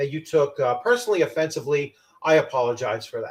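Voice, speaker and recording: A man speaks loudly. His pace is fairly quick. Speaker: tabletop game channel host. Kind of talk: casual chat.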